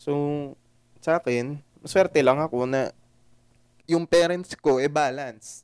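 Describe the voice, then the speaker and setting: Very slow and broken by long, frequent pauses, a man's fairly high voice holds a fairly even intonation. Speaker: podcast co-host. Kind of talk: casual chat.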